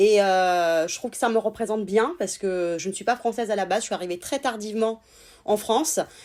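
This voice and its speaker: With a very clean recording and silent background, a woman talks at a fairly quick pace, her medium pitch showing ordinary variation. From Italy. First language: Italian (speaking French). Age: 30s. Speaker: sex therapist. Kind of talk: interview conversation.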